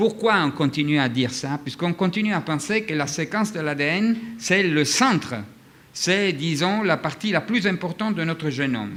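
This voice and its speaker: A man speaks at a high pitch with a bright, sharp tone. His intonation is lively and his pace moderate. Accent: non-native. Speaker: physician, conference speaker. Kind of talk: lecture. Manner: halting, many hesitations.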